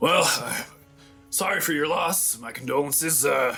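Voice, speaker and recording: A man uses a put-on character voice, raspy and fairly high in pitch. Faint music plays in the background. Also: moderate pace. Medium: actual play. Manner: folksy, easygoing.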